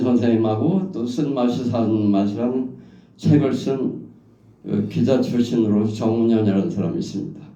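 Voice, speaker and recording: With audible room echo, a man speaks at a fairly slow pace in a dark, mellow, medium-pitched voice with ordinary pitch variation. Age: 70s. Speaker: professor. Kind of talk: anecdotal talk at a memorial gathering.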